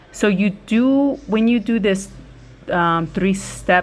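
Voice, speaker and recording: A woman is speaking. She has a Spanish accent. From United States, Spanish-speaking immigrant family. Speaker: YouTuber. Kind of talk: casual chat during a nail tutorial.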